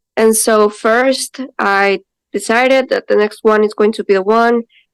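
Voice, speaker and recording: In a dry, close sound with no echo, a woman with a fairly high pitch talks at a moderate pace in a flat monotone. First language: not English. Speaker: architect. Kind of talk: interview. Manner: halting, with frequent restarts.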